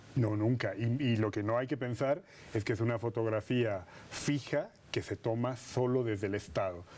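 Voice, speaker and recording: With a slight Madrid accent, a man of medium pitch speaks at a moderate pace, with ordinary pitch variation and very even loudness. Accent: slight Spanish (Madrid) tinge. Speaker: politician and political scientist. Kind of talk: TV interview.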